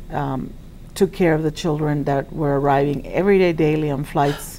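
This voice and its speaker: Moderate-paced speech from a woman with a very deep, low voice, noticeable background noise behind her. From Cuba. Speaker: school principal. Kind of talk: interview. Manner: halting, many fillers.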